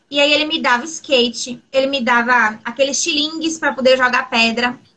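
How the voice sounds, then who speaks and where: A woman's raised, projected voice, high in pitch, with fairly even intonation. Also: moderate pace. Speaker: LGBTQIA+ interviewee. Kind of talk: interview conversation.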